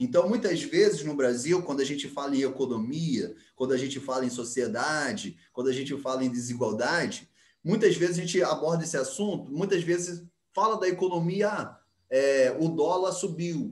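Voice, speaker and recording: A man talks in a normal speaking voice, pitched fairly high. His pace is moderate and his pitch variation ordinary. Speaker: geography teacher. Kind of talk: online class lecture.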